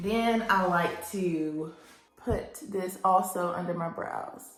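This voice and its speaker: Music plays behind a woman with a Southern US accent. She speaks very slowly at a medium pitch, her intonation fairly even. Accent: Southern American. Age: 20s. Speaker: labor and delivery nurse. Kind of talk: makeup tutorial talk to camera.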